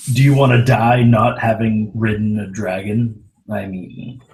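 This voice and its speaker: A man speaks in a booming, put-on character voice. His pitch is medium and his pace moderate. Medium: actual play. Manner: commanding, casual.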